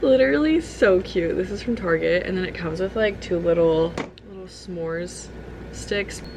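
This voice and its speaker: A woman speaks at a moderate pace. The room echo is audible and the background noise is noticeable. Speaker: kindergarten teacher and vlogger. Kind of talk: vlog narration. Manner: casual, lots of filler words.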